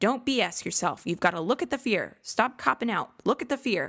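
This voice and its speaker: Someone uses a put-on character voice, fairly high in pitch, at a fairly quick pace on a very clean recording with a silent background. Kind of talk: blunt, tough. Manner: harsh, barking, commanding.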